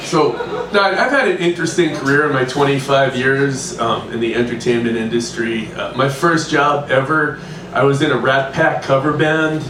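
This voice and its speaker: In a room with audible echo and noticeable background noise, a man speaks with a fairly high pitch and ordinary pitch variation. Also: moderate pace. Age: 60s. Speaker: comedian. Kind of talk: stand-up. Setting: stage with audience. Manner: halting.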